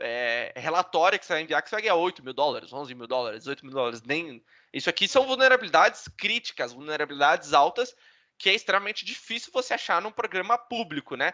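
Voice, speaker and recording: Over a quiet background, a man with a high pitch and bright, sharp tone talks at a very fast pace, with very wide pitch swings and big swings in loudness, in a dry, close recording with no echo. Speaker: bug bounty hacker, speaker. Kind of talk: online talk presentation. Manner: casual.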